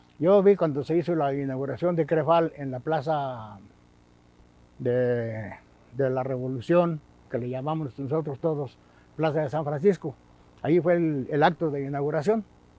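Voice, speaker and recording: With a dark, mellow tone and a fairly high pitch, a man talks at a fairly slow pace with ordinary pitch variation and long, frequent pauses. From Guerrero, Mexico. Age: 70s. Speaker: former employee. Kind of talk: interview testimony.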